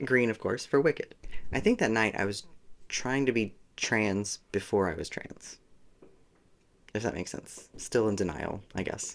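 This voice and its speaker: A man speaks with a fairly low pitch and ordinary pitch variation at a moderate pace. His delivery has long, frequent pauses. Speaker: vlogger. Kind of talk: casual monologue. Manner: casual.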